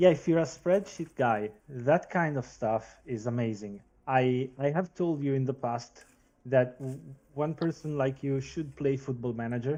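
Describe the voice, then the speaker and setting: A man with a non-native accent speaks at a fairly slow pace, his medium pitch showing ordinary variation. His tone is dark and mellow, set against a quiet background. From Switzerland. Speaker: football pundit. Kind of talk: casual chat. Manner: hesitant, many fillers.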